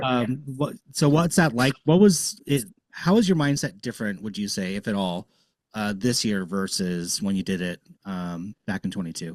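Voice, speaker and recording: With a normal speaking voice, a man at fairly low pitch uses lively intonation at a moderate pace, recorded very clean with a silent background and a dry, close sound with no echo. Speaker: podcast host. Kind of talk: podcast interview questions.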